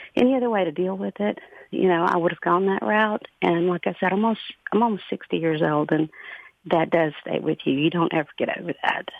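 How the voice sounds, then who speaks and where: Here is a plain, everyday voice from a woman at a fairly low pitch. She moves at a fairly quick pace with ordinary pitch variation. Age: 50s. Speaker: caller. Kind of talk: phone-in call about personal experience.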